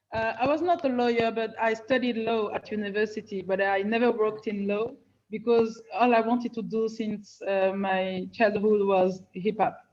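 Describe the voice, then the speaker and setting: At a moderate pace, a woman with a French-speaking African accent talks at a fairly high pitch with ordinary pitch variation. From Benin / Senegal. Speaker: rapper. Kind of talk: panel discussion. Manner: halting, many fillers.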